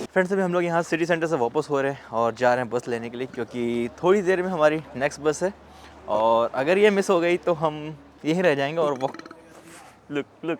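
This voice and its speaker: Amid noticeable background noise, a man speaks at a fairly high pitch. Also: ordinary pitch variation, moderate pace. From India. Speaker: vlogger, international student. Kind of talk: travel vlog. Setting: outdoors.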